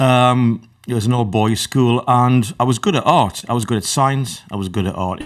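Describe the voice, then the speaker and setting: With a northern English accent, a man speaks at a moderate pace and medium pitch, using ordinary pitch variation and hardly any pauses. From northern England. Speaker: electronic musician. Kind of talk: interview.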